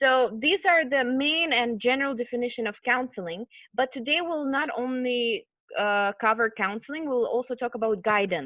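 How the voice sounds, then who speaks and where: High-pitched woman's voice with lively intonation. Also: moderate pace. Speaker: college program manager and counselor. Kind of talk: online lecture / webinar.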